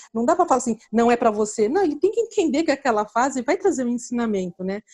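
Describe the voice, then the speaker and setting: A woman's high-pitched voice with a dark, mellow tone, dry and close with no echo. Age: 40s. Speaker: financial educator. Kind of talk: casual interview. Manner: hesitant, with many fillers.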